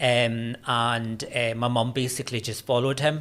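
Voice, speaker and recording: A man with a Scottish accent speaks at a medium pitch. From Scotland, Glasgow. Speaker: university lecturer in religious studies. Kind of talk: podcast interview. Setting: studio.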